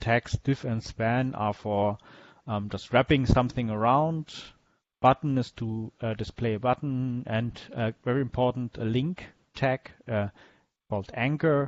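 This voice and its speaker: Pitched at a medium level, a man speaks at a fairly slow pace with fairly even intonation. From Germany. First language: German. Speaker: web developer teaching a workshop. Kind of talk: lecture. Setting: video call with screen share. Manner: halting, many fillers.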